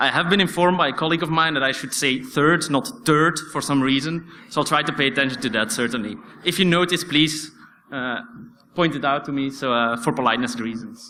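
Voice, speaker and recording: A man with a non-native accent speaks at a fairly quick pace and fairly high pitch, with ordinary pitch variation. His tone is bright and sharp, and audible room echo surrounds it. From Belgium. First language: Dutch. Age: 20s. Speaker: security researcher. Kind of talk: conference talk. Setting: stage with audience. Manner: hesitant, many fillers.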